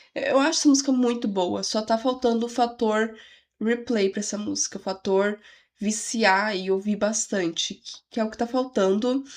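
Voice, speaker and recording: Quiet and fairly high-pitched, a woman speaks at a moderate pace with fairly even intonation on a very clean recording with a silent background. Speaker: music reaction youtuber. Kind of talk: casual reaction video. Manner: quiet voice.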